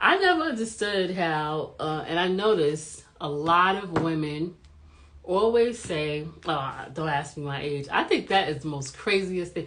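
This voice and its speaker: A woman speaks in an animated tone at a fairly low pitch, with ordinary pitch variation. Audible room echo surrounds her voice. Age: 40s. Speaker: YouTube commentary vlogger. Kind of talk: casual vlog commentary.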